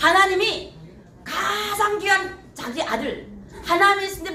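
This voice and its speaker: A woman's raised, projected voice at an extremely high pitch, animated in tone and fairly slow, with audible room echo and noticeable background noise. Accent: North Korean. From North Korea. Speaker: pastor. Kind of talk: sermon. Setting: church.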